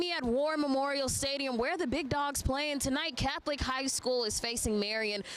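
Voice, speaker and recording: Amid noticeable background noise, a woman talks fairly quickly with a high pitch. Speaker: sports reporter. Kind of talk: sports news report.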